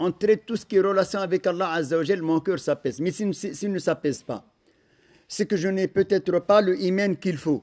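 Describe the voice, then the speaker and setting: This man has a high pitch and ordinary pitch variation, speaking at a moderate pace. The sound is dry and close, with no echo. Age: 60s. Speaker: imam. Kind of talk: religious lecture.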